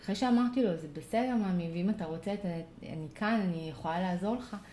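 A woman speaks with a dark, mellow tone and lively intonation. Room echo is audible. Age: 40s. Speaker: parent coach. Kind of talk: casual interview conversation.

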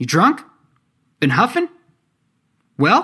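A man puts on a character voice that is high-pitched, bright and sharp, with very wide pitch swings and a slow pace.

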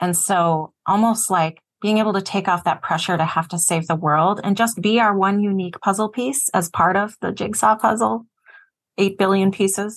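Against a quiet background, a woman with a normal speaking voice talks at a moderate pace, her pitch medium with ordinary pitch variation. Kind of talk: moderated panel conversation.

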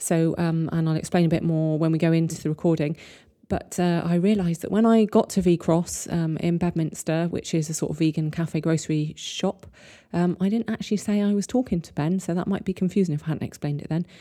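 In a very clean recording with a silent background, a woman speaks fairly quickly at a fairly low pitch, with a dark, mellow tone and fairly even intonation. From Bristol, England. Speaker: podcast host. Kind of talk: interview, casual chat.

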